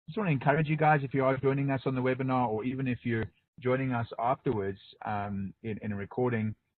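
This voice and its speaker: A man with a South African accent, talking at a very fast pace with ordinary pitch variation. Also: medium pitch for a man. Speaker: pastor. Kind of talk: webinar presentation. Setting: online webinar.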